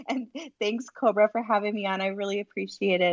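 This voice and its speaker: Keeping her intonation fairly even, a woman races along at a very fast pace. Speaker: crypto space host. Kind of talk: live audio chat.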